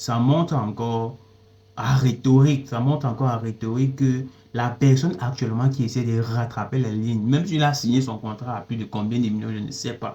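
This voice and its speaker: A man with a non-native accent talks at a moderate pace in a medium-pitched, dark, mellow, somewhat breathy voice with fairly even intonation. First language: not French (speaking French). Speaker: music commentator. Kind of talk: opinion commentary monologue. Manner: halting, with repetitions and self-corrections.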